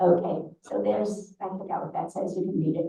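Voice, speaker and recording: With vocal fry and a dark, mellow tone, a woman talks at a moderate pace in a fairly low pitch, using ordinary pitch variation amid audible room echo. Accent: American. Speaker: synagogue leader presenting annual report. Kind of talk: annual meeting report. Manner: halting.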